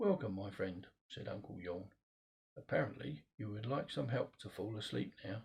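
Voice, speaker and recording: A man speaks at a fairly low pitch with lively intonation. His voice is somewhat breathy. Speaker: grandfather reading bedtime story to granddaughter. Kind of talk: sleep story. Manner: slow, soothing.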